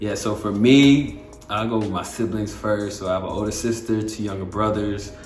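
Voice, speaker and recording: A man with fairly low pitch and fairly even intonation is heard with audible room echo and noticeable background noise. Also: moderate pace. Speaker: vlogger, half of a married couple. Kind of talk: casual chat. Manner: mostly fluent today, few stutters.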